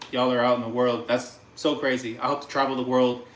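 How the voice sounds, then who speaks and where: A man's medium-pitched, animated voice at a very fast pace, with audible room echo. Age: 30s. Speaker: cooking livestreamer. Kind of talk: casual livestream chat while cooking.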